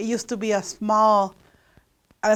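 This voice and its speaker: A woman's fairly high voice with a Spanish accent, on a very clean recording with a silent background. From Mexico. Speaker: local resident sharing memories. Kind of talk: personal reminiscence.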